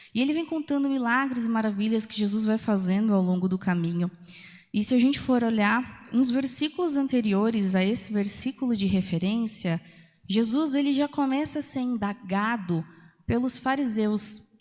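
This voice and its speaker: On a very clean recording with a silent background, a woman with a fairly high, somewhat breathy voice speaks at a moderate pace with ordinary pitch variation. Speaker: preacher. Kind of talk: sermon. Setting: church.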